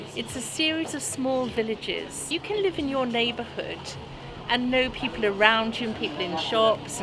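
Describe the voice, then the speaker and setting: Over noticeable background noise and audible room echo, a woman speaks at a moderate pace with lively intonation. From South Wales. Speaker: interviewee. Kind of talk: casual chat.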